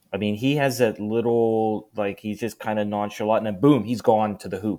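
The recording is very clean, with a silent background. A man with a fairly low pitch speaks in a plain, everyday voice. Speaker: podcast guest. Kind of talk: casual sports banter. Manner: jokey, repeats rivalry catchphrase.

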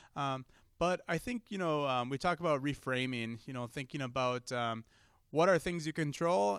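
A man with an American accent and a plain, everyday voice, fairly high in pitch with ordinary pitch variation, at a fairly quick pace, in a very clean recording with a silent background and a dry, close sound with no echo. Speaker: emergency doctor. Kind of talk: interview.

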